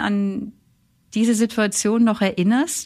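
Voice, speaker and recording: The woman's voice is fairly high in pitch and somewhat breathy. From northern Germany, Flensburg Fjord. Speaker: theologian and author, religious sister. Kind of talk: biographical interview.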